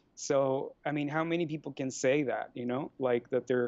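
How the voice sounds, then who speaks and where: A man speaks with a Mexican accent in a monotone, with flat intonation. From Mexico. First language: Spanish. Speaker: life coach and free market advocate. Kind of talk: podcast interview.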